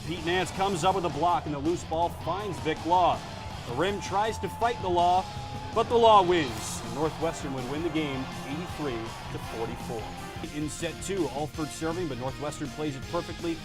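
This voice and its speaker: Over music in the background, a man with an American accent speaks at a fairly high pitch. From North Carolina. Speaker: student broadcast journalist. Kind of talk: sports highlights anchor read.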